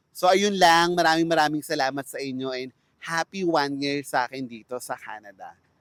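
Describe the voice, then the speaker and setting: A man with a plain, everyday voice talks at a fairly quick pace in a fairly high pitch, with ordinary pitch variation. His loudness swings widely, and the sound is dry and close with no echo. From Philippines. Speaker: vlogger, fast food worker. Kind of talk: vlog monologue. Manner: polite.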